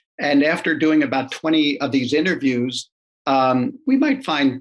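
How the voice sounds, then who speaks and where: Here is a man speaking. His intonation is monotone and flat. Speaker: marketing executive. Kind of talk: interview. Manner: quiet; halting.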